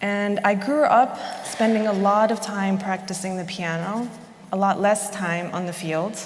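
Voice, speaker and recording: Amid noticeable background noise and audible room echo, a woman with a medium pitch talks at a fairly slow pace. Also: fairly even intonation. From Chicago suburbs, US Midwest. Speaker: architect. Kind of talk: conference talk. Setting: stage with audience.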